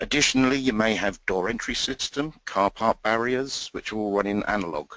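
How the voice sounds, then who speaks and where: A man with an English accent speaks at a fairly low pitch with ordinary pitch variation. The sound is dry and close, with no echo. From England. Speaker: technical trainer. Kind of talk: training session. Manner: hesitant, many fillers.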